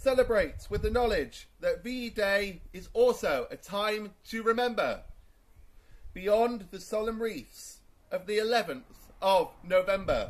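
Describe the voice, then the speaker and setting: A loud man speaking at a very slow pace. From England. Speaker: town crier. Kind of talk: town crier proclamation in rhyming verse. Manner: loud, projected, formal. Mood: solemn and commemorative. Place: garden. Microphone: camera far.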